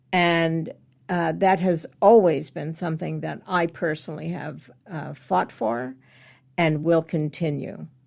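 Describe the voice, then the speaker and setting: A woman's very deep, low voice with an American accent, at a fairly slow pace. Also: ordinary pitch variation. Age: 70s. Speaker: somatic healing practitioner. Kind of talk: interview conversation.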